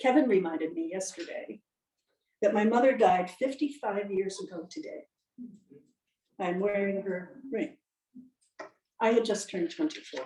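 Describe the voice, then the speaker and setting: A woman with a dark, mellow, somewhat breathy tone at medium pitch talks at a moderate pace, her pitch swinging very widely and her loudness rising and falling sharply between long, frequent pauses. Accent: American. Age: 70s. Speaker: lay speaker. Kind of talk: sermon.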